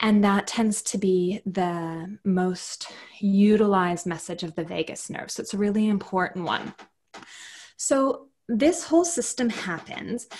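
Somewhat breathy, a woman with a Canadian accent speaks fairly slowly with lively intonation. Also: quiet background. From Canada. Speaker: clinical psychologist and yoga instructor; yoga instructor. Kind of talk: casual interview. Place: home room.

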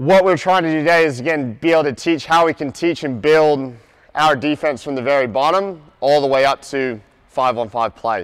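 Over a quiet background, a man talks at a fairly quick pace with ordinary pitch variation and big swings in loudness. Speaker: basketball coach presenter. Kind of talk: lecture. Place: hall.

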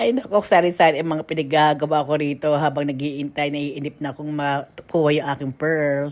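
A woman speaking at a moderate pace. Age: middle-aged. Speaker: vlogger. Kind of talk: casual vlog narration. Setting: outdoors. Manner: animated.

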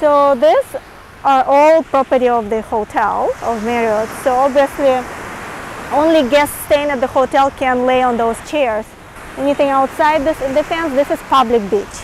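Against light background noise, a woman speaks at a high pitch with ordinary pitch variation. Her pace is fairly slow, and the sound is dry with no echo. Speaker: travel vlogger. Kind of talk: casual travel vlog commentary. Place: beach. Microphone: lapel.

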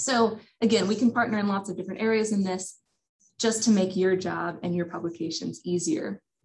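A somewhat breathy woman's voice at a fairly quick pace, with ordinary pitch variation. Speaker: presenter. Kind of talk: presentation. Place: office. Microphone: webcam.

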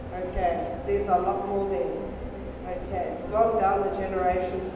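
A woman speaks at a fairly slow pace amid strong room echo and noticeable background noise. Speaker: deliverance minister. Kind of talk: sermon. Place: hall.

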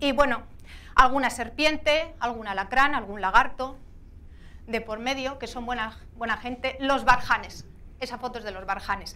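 A woman's high-pitched voice carries a bright, sharp tone and big swings in loudness. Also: fairly even intonation, moderate pace. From Asturias, Spain. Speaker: adventurer and motorcycle rider; speaker. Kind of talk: motivational talk. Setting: stage with audience. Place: hall. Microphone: lapel.

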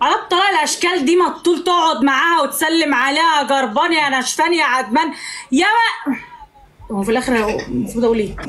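A woman's high, animated voice at a fairly quick pace with lively intonation, set against noticeable background noise. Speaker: live streamer. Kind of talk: casual banter. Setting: video call. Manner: animated, teasing.

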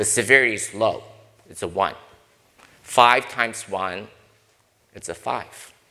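A man with an American accent speaks at a fairly slow pace in a bright, sharp tone. His intonation stays fairly even over a quiet background. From US Northeast (Brooklyn, New York). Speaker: corporate board director and risk consultant. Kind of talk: panel discussion. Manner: direct. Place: hall. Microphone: lapel.

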